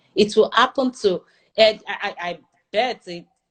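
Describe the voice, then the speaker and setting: A woman speaks with a Nigerian accent and lively intonation. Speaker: airline pilot. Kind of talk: interview conversation.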